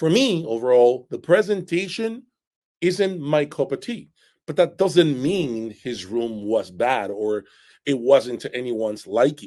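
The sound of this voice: Speaking slowly at a medium pitch, a man has a slightly mellow tone and lively intonation.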